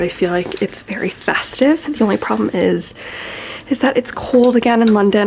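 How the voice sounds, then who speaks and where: Noticeable noise sits in the background. The speech moves at a moderate pace with lively intonation. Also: woman. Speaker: lifestyle vlogger. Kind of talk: casual vlog narration.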